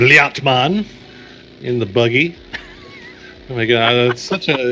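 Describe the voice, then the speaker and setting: Music sits behind a man speaking at a fairly slow pace and medium pitch, with ordinary pitch variation. His loudness swings widely, and he leaves long, frequent pauses. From Texas. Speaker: esports caster. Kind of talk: live commentary.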